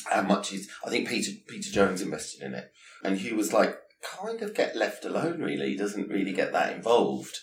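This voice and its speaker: Noticeable background noise runs under a man talking at a fairly quick pace. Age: 50s. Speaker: podcast host and hairstylist. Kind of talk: interview.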